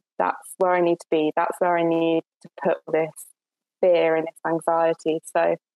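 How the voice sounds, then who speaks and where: A woman with a southern English accent speaks at a fairly slow pace in a fairly low pitch. Her intonation is monotone and flat, and the sound is dry and close with no echo. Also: big swings in loudness. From Essex, southern England. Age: 20s. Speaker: climate activist and PhD student. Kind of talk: interview. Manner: hesitant, with frequent fillers and repetitions.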